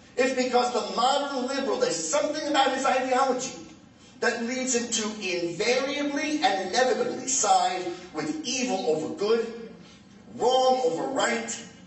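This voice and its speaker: Over noticeable background noise and audible room echo, a man speaks at an extremely high pitch with lively intonation. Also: moderate pace. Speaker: comedian and political speaker. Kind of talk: speech to an audience.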